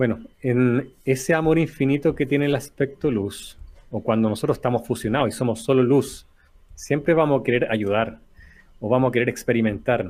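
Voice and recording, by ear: At a moderate pace, a man speaks with a slightly mellow tone. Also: medium pitch for a man, ordinary pitch variation.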